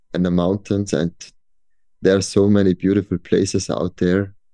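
Against a quiet background, a man with an Austrian accent speaks at a fairly low pitch. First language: German. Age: 40s. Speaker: professional boulderer. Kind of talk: interview conversation. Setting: video call. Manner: halting.

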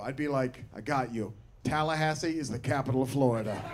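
Music in the background beneath speech with ordinary pitch variation. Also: man. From Portland, Oregon. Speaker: stand-up comedian. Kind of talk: stand-up comedy. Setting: stage with audience. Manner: animated, bantering.

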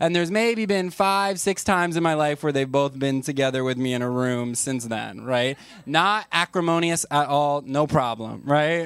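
In a very clean recording with a silent background, a man speaks at a moderate pace with hardly any pauses. He has an ordinary speaking voice, fairly high in pitch, with lively intonation. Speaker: comedian podcast host. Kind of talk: live comedy podcast chat. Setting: stage with audience. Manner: casual, bantering.

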